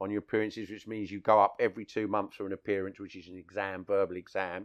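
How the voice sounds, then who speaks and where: A man with a London accent speaks at a fairly low pitch. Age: 50s. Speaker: taxi driver. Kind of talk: casual chat. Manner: talkative.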